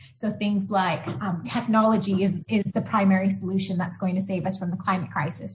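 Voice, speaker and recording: A woman with an American accent, medium pitch and a fairly quick pace. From US Pacific Northwest. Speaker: sustainability researcher. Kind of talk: interview.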